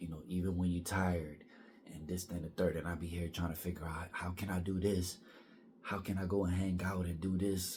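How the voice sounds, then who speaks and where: A quiet, somewhat breathy man at a very deep, low pitch, monotone and flat, fairly quick in pace, with audible room echo. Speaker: vlogger. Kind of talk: personal vlog monologue. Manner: halting.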